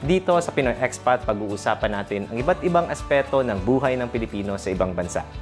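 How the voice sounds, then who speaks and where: Over background music, the speaker races along at a very fast pace with hardly any pauses and very wide pitch swings. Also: man, medium pitch for a man. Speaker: podcast host. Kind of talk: podcast intro.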